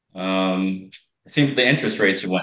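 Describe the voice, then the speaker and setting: A man's plain, everyday voice, fairly low in pitch, with ordinary pitch variation and a fairly slow pace. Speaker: hardscape contractor. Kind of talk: casual chat.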